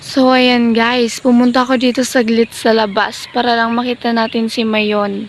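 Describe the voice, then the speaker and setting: Speech comes at a fairly slow pace in a monotone, flat intonation. There is noticeable background noise. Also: woman. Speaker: vlogger. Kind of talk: vlog. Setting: outdoors.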